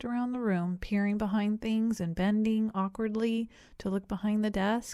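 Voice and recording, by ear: The clip is reading aloud in a natural voice. Intonation holds fairly even.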